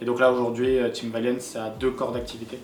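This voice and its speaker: The speech has monotone, flat intonation. Audible room echo and noticeable background noise surround it. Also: man. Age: 20s. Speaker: esports team founder and director. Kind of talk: documentary interview. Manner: hesitant with many fillers.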